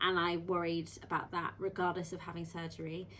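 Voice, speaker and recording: The speaker is a woman with a fairly low pitch. She talks at a moderate pace in a monotone, flat intonation. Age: 20s. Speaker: midwife and surgery patient. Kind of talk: interview. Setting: on camera beside her mother. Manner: hesitant, many ums.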